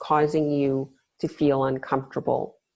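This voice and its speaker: A woman talks at a fairly slow pace. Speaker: mindfulness facilitator and yoga teacher. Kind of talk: online mindfulness workshop. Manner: hesitant, with fillers and restarts.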